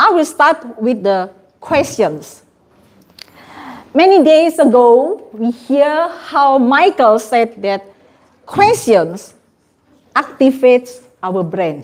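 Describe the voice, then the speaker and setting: With a non-native accent, a very slow voice takes very wide pitch swings and leaves long, frequent pauses. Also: woman, high pitch for a woman. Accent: non-native English pronunciation. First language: not English. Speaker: trainer. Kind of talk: training workshop presentation.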